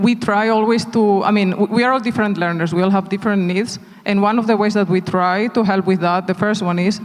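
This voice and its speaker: This speaker, in a Spanish accent, talks fairly quickly with fairly even intonation. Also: man. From Spain. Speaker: tech company executive. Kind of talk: onstage panel interview. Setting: conference stage.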